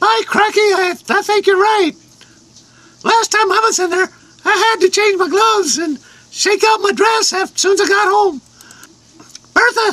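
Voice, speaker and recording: In a put-on character voice that is squeaky and extremely high in pitch, the speaker leaves long, frequent pauses. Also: moderate pace. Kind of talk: comic overacting. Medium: comedy sketch. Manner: folksy, bossy.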